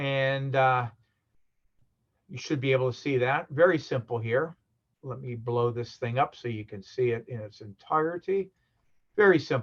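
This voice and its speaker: Speech comes at a moderate pace with long, frequent pauses and ordinary pitch variation. The voice is somewhat breathy, with big swings in loudness. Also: man, medium pitch for a man. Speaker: university lecturer. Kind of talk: lecture. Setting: video call. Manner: hesitant, many fillers.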